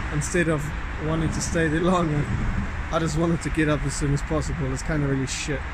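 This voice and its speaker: Over loud background noise, a man speaks very fast in a dry sound with no echo. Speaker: vlogger. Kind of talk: casual vlog chat. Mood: down, frustrated. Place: street. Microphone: phone near.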